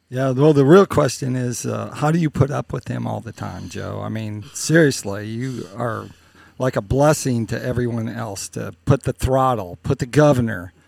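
In a very clean recording with a silent background and a dry, close sound with no echo, a man has an ordinary speaking voice at a medium pitch, with ordinary pitch variation and big swings in loudness. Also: moderate pace. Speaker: podcast host. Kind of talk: interview.

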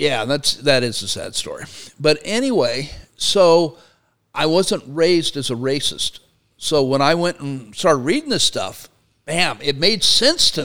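A man with an American accent and an ordinary speaking voice talks fairly slowly, his fairly high pitch carried by lively intonation, on a very clean recording with a silent background. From Arizona. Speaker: Marine veteran and labor professor. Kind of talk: casual chat.

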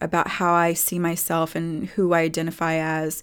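On a very clean recording with a silent background, a woman with a fairly low pitch talks at a fairly slow pace in an ordinary speaking voice. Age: 40s. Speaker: holistic health practitioner and face reader. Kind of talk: solo podcast monologue. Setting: studio.

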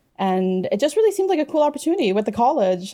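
A woman's dark, mellow voice in a Canadian accent, very fast, with very wide pitch swings. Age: 20s. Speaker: writer. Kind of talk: interview.

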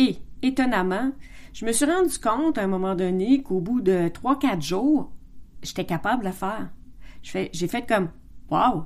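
In a Quebec accent, a woman with a medium pitch talks at a fairly slow pace with lively intonation and long, frequent pauses. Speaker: podcast host. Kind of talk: casual monologue. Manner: halting.

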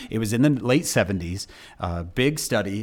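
A man speaks in a plain, everyday voice, pitched fairly low, with lively intonation. The recording is very clean, with a silent background. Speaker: speaker and author. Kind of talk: casual interview chat.

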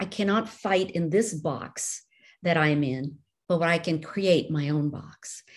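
At a fairly slow pace, a woman with an American accent uses a plain, everyday voice, fairly low in pitch with ordinary pitch variation, on a very clean recording with a silent background. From India, raised in the US from age nine. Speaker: novelist. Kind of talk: interview conversation.

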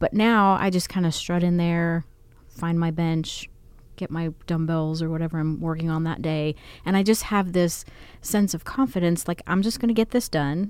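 A woman with a normal speaking voice talks at a moderate pace, using ordinary pitch variation at a fairly low pitch. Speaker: podcast co-host. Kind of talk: casual chat.

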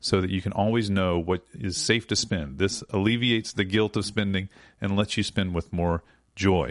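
A man with an unremarkable speaking voice talks at a moderate pace and fairly low pitch. The background is quiet. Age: 40s. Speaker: podcast host and app co-founder. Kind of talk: casual chat; promotional read.

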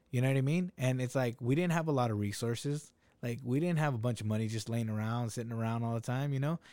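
A man's medium-pitched, dark and mellow voice at a very fast pace, on a very clean recording with a silent background. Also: ordinary pitch variation. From Salinas, California (Mexican-American). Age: 30s. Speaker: food business owner. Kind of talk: casual chat.

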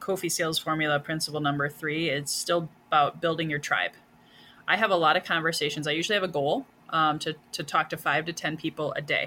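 A woman speaks with a very deep, low pitch and a bright, sharp tone. Her pace is fairly quick and her intonation fairly even. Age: 40s. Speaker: sales coach. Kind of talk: interview.

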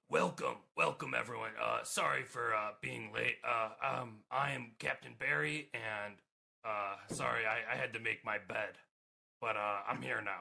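A man's gruff, raspy put-on character voice at medium pitch, fairly slow, with long, frequent pauses. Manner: apologetic, cheerful.

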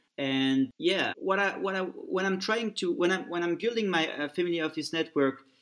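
A man with a French accent, at a moderate pace, with ordinary pitch variation. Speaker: family office network founder. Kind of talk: interview. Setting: remote call. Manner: halting, many repetitions.

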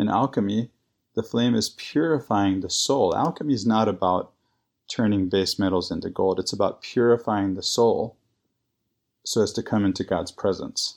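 On a very clean recording with a silent background, a man speaks in an ordinary speaking voice at a moderate pace, with a medium pitch and ordinary pitch variation. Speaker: guest co-host. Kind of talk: casual scripture discussion.

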